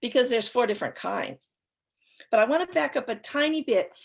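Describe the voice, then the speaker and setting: A woman speaks at a high pitch with very wide pitch swings. The background is quiet. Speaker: acupuncture professor and author. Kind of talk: lecture. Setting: live online talk.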